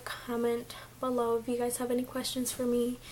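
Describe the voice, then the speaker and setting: The speaker is a woman with a fairly high pitch. She goes at a moderate pace. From Mexico. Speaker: beauty vlogger. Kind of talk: casual vlog chat.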